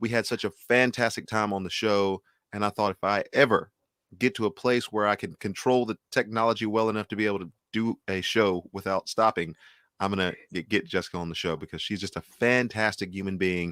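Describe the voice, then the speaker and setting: At a fairly quick pace, a man with an ordinary speaking voice and fairly low pitch is heard in a dry, close sound with no echo, a very clean recording and a silent background. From Texas. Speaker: music show host. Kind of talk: interview.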